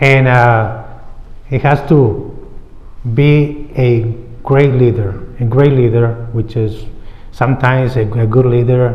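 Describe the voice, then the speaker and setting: Speaking very slowly with a non-native accent, a man at a medium pitch sounds somewhat breathy and flat in intonation, with long, frequent pauses and audible room echo. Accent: noticeable foreign. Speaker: mayoral candidate. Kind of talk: candidate forum answer.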